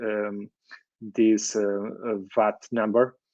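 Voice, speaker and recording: A man talks at a very slow pace in a Portuguese accent. His medium pitch stays in a monotone, flat intonation. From Portugal, Lisbon. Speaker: wheelchair user and association representative. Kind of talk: presentation and interview answers. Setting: live online meetup. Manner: halting, many fillers.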